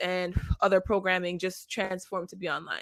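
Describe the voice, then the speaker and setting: Speaking with a Jamaican accent, a woman uses a bright, sharp tone at a medium pitch and a fairly quick pace. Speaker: tech founder and event organizer. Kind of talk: online event introduction speech. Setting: online video event.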